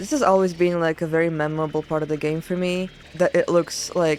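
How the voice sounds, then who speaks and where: Against noticeable background noise, a woman with a fairly low voice speaks at a moderate pace. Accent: non-native. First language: not English. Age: 20s. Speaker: gaming video creator. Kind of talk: game commentary. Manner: casual, filler-heavy.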